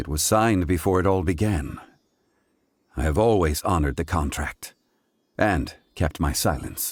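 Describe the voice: A man puts on a character voice, low-pitched with a slightly husky edge, speaking at a fairly slow pace. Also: lively intonation.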